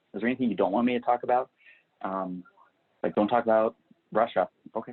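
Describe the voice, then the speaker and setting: Very fast speech from a man with a medium pitch. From Kentucky. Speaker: agency owner and speaker. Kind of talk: interview. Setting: podcast. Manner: halting.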